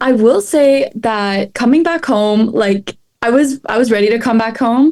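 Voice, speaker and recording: Woman with a Canadian accent, fairly high pitch, ordinary pitch variation, very even loudness and a fairly slow pace. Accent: Canadian, mistaken for American. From Canada. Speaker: student athlete, podcast guest. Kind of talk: casual interview.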